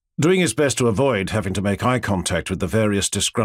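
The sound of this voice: Heard here is an unforced reading voice whose intonation is lively.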